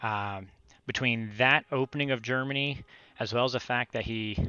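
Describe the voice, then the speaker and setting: Fairly even intonation from a man at a medium pitch. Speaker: strategy game commentator. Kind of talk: gameplay commentary. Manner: fast; hesitant, many fillers.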